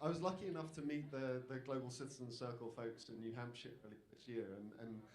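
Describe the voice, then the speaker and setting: In a British accent, a man speaks with audible room echo around his voice. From Britain. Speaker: democracy campaigner, panelist. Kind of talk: panel talk. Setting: stage with audience. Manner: repetitive false starts.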